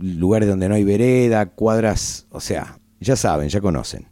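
A man with a fairly low pitch and a dark, mellow tone speaks at a moderate pace with ordinary pitch variation. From Argentina, Buenos Aires. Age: 50s. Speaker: radio host. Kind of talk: casual radio monologue. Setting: radio studio.

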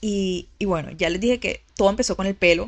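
An unremarkable speaking voice moves at a moderate pace. The intonation stays fairly even. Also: woman. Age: 20s. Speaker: image consultant and podcaster. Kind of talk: personal monologue. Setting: lying in bed recording at home. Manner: casual, conversational.

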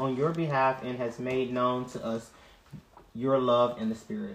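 A man with a plain, everyday voice at medium pitch and a moderate pace. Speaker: bible study participant. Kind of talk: reading aloud.

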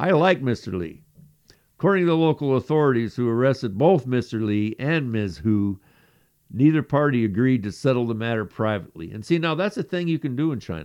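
Pitch swings very widely throughout. The background is quiet. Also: man, medium pitch for a man, fairly quick pace. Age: 60s. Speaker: podcast co-host. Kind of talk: reading news stories aloud; casual chat.

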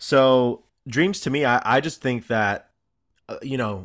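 A man talks in an unremarkable speaking voice at a medium pitch with ordinary pitch variation, on a very clean recording with a silent background. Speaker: podcast host; teacher. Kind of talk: casual chat.

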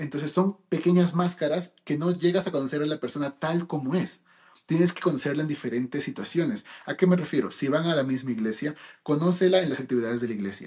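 Somewhat breathy and fairly high-pitched, a man rattles along at a very fast pace with ordinary pitch variation. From United States (born in Peru). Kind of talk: casual chat.

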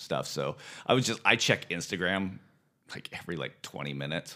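A man with an American accent and a very deep, low pitch uses vocal fry and very wide pitch swings at a moderate pace, in a very clean recording with a silent background. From US West Coast (Santa Ynez Valley, California). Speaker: restaurant owner. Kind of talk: casual chat.

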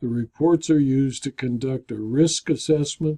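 A man speaks fairly slowly, his pitch fairly high, his tone dark and mellow. His intonation stays fairly even, and the sound is dry and close with no echo. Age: 70s. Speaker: insurance consultant and video blogger. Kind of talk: scripted narration.

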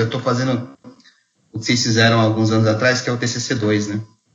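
This man has a medium-pitched voice, and there is audible echo from the room. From Brazil, Mogi das Cruzes (São Paulo). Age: 40s. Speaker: theology graduate, podcast co-host. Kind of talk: casual chat.

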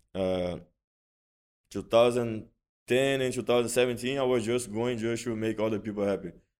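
A man with medium pitch speaks at a moderate pace and fairly even intonation. He leaves long, frequent pauses. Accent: Portuguese. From Brazil. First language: Portuguese. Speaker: jiu-jitsu champion and instructor. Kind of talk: interview. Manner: halting.

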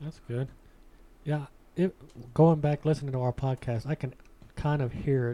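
A man with an American accent, a dark, mellow tone, a moderate pace and long, frequent pauses. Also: fairly high pitch for a man, fairly even intonation. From US South. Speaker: podcast host. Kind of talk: casual chat. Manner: joking, casual.

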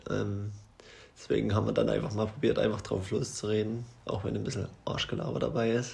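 With audible room echo and noticeable background noise, a man's words come at a fairly quick pace. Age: 20s. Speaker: podcast co-host. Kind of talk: casual chat.

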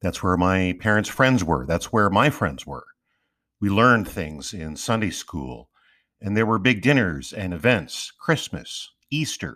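Against a silent background in a very clean recording, a man speaks at a fairly slow pace with vocal fry, a fairly low pitch, and very wide pitch swings. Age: 50s. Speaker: podcast host. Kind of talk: scripted narration.

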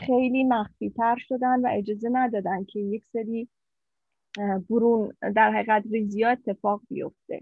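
A woman speaks in an ordinary speaking voice, fairly high in pitch, with fairly even intonation at a moderate pace. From Iran, Mashhad. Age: 50s. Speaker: ultrasound technician. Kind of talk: personal life story interview.

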